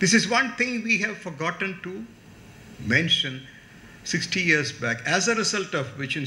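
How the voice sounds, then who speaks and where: Amid noticeable background noise and audible room echo, a man talks in a high pitch with lively intonation. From India, Tamil Nadu. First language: Tamil. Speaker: chief guest speaker. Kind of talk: lecture. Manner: animated.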